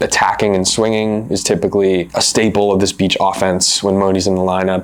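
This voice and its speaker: A fairly low-pitched man's voice with noticeable background noise. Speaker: volleyball analyst. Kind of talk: sports analysis talk to camera.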